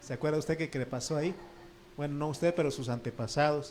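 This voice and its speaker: Audible room echo surrounds a man with an Oaxacan accent who speaks at a fairly high pitch with fairly even intonation. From Oaxaca, Mexico. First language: Triqui (speaking Spanish). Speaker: pastor. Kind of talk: sermon. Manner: conversational, asks the congregation questions.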